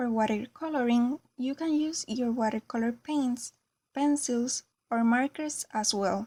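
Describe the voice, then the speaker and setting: A woman with a Spanish accent speaks at a fairly slow pace in a high pitch, her tone dark and mellow. Her pitch varies in an ordinary way, and the sound is dry and close with no echo. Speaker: craft tutorial creator. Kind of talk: tutorial.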